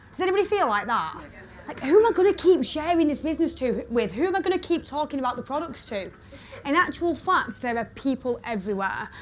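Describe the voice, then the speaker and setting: Amid noticeable background noise, a woman talks at a very fast pace in an animated tone, her high pitch swinging very widely. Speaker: network marketing speaker. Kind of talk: motivational talk to live audience. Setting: stage with audience. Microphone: echo.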